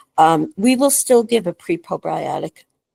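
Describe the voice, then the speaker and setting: A woman with a New York accent talks at a moderate pace in a dark, mellow tone with vocal fry. Her pitch swings very widely, and the sound is dry and close with no echo. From New York City. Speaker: functional medicine doctor. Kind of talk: casual chat.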